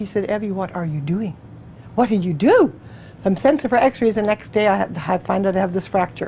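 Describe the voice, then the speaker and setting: This is a woman's voice. She speaks at a very fast pace. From Canada. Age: 60s. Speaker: testimonial speaker. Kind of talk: testimony. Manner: fast, chatty.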